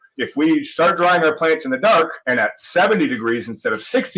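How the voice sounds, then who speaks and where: With a Canadian accent, the speaker uses a bright, sharp tone and lively intonation at a fairly quick pace. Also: man. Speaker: cannabis grower. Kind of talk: explanatory talk in a played video clip.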